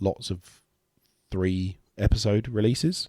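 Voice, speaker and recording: This man's voice has a dark, mellow tone and a fairly even intonation. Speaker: podcast host. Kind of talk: solo podcast monologue. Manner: choppy, pausing to cough and clear throat.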